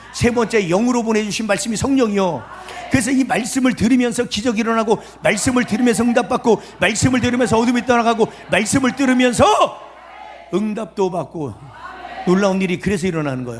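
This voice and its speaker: An animated voice races along at a very fast pace with ordinary pitch variation. Noticeable background noise sits underneath. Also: man, high pitch for a man. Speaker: pastor. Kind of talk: sermon. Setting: revival meeting at prayer retreat with audience. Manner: animated, emphatic.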